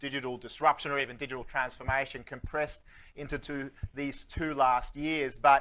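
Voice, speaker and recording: Using a bright, sharp tone, a man talks at a moderate pace with a fairly high pitch. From Sweden. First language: Swedish. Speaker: futurist keynote speaker. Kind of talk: keynote talk. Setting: stage with audience. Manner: animated.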